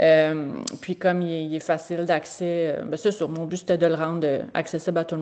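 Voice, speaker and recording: Her tone is dark and mellow, her pitch fairly low. This woman speaks at a moderate pace. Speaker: veterinary technician teacher. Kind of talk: presentation. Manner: halting.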